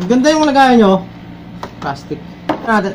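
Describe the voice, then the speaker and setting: Light background noise sits behind a man as he talks. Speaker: vlogger. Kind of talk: casual unboxing tutorial. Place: home room.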